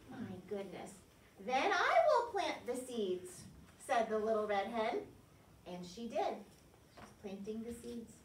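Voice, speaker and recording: Over light background noise and audible room echo, a woman speaks at a fairly slow pace with long, frequent pauses and big swings in loudness. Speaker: preschool teacher. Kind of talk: storytime read-aloud to children. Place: classroom. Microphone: camera far.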